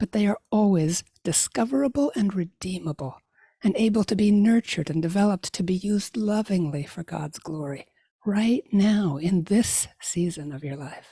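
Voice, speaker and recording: A woman's voice, medium in pitch and somewhat breathy, with a dark, mellow tone and lively intonation at a moderate pace, dry and close with no echo on a very clean recording with a silent background. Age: 60s. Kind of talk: inspirational talk.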